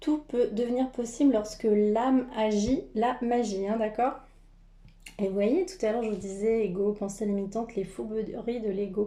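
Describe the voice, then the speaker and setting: At a fairly slow pace, a woman speaks in a dark, mellow tone with fairly high pitch and ordinary pitch variation. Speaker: tarot card reader and energy healer. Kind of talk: spiritual card reading. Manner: halting with many fillers.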